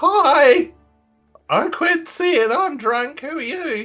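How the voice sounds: A high-pitched, put-on character voice at a very slow pace, faint music in the background.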